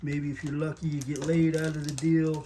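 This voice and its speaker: A man speaks with monotone, flat intonation at a fairly high pitch. Noticeable background noise runs underneath. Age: 70s. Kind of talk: casual talk to camera. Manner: casual, rambling, humorous.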